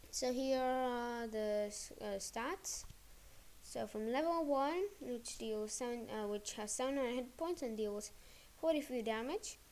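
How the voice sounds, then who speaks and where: Soft-spoken and fairly slow, a woman talks in a high voice with ordinary pitch variation. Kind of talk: video game card explanation voiceover. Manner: quiet, soft-spoken; hesitant, many filler words.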